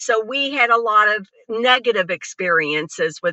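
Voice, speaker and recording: This is a normal speaking voice. It has ordinary pitch variation. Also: woman. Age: 60s. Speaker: cannabis dispensary co-owner. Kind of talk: personal testimony in interview.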